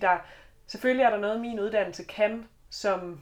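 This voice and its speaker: A woman with a slight Southern Jutland accent, at a fairly slow pace with fairly even intonation. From Southern Jutland, Denmark. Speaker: teacher student and student politician. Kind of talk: podcast panel discussion. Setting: studio.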